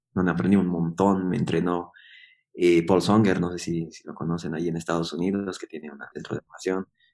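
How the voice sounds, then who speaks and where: A man speaks with a very deep, low pitch. His intonation is flat and monotone. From Bolivia, Yungas region. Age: 30s. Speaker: coffee producer and roaster. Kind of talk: interview. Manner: halting, many fillers and repetitions.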